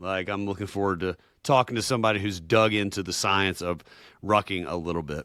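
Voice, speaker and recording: Fairly quick speech from a man with a Southern US accent, a fairly low pitch and a bright, sharp tone, on a very clean recording with a silent background. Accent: Southern American. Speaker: podcast co-host. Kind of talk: interview. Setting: podcast.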